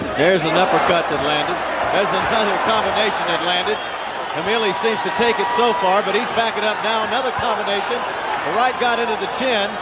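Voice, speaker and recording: Over loud background noise, a man speaks at a very fast pace. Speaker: boxing play-by-play announcer. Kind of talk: live commentary. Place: stadium. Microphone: headset.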